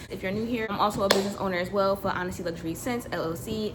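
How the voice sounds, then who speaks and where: Noticeable background noise sits behind a woman whose medium pitch varies in an ordinary way. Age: 20s. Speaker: lifestyle vlogger. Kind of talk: casual chat. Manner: fast; animated.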